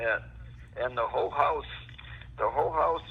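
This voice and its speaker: A man is speaking. Noticeable background noise sits under his voice. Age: 80s+. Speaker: product user giving testimonial. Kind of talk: phone interview answer. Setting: phone line.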